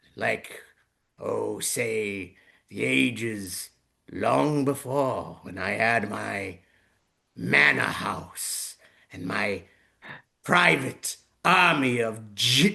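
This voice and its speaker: In a raspy, put-on character voice, the speaker goes at a very slow pace with very wide pitch swings and long, frequent pauses. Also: man, medium pitch for a man. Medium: solo performance. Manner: theatrical.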